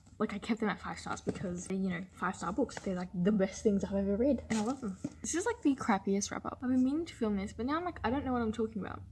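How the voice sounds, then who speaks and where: Very fast, lively speech from a woman with an Australian accent and a fairly high pitch. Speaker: book vlogger. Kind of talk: casual chat. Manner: fast, animated; quiet.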